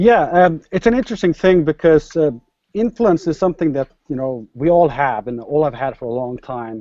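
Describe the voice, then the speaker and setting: With a Norwegian accent, a man talks at a moderate pace in a fairly high, dark and mellow voice, his intonation lively and the sound dry and close with no echo. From Norway. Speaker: startup entrepreneur. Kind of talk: interview.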